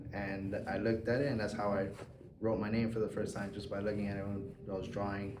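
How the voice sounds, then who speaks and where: Amid noticeable background noise and audible room echo, a man with a fairly low pitch talks at a very fast pace in a monotone, flat intonation. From South Florida (Hialeah), Cuban and Puerto Rican family. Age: 20s. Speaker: artist. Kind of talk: interview.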